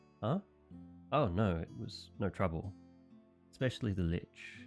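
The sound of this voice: Faint music plays behind a man doing a put-on character voice, low-pitched and fairly slow with lively intonation.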